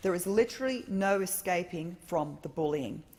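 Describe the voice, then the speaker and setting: In a somewhat breathy, medium-pitched voice, a woman speaks with ordinary pitch variation. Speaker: member of parliament. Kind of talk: parliamentary speech. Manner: formal.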